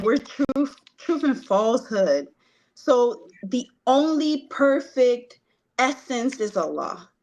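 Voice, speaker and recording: The accent here is Spanish. This female speaker's intonation moves in a lively way. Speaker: participant in discussion. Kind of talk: group spiritual discussion. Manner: halting.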